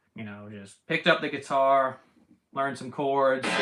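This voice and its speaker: This is a man with an American accent and a fairly high pitch. His tone is bright and sharp. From United States. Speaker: guitar teacher streaming live. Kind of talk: casual live stream Q&A. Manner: casual, repetitive with false starts.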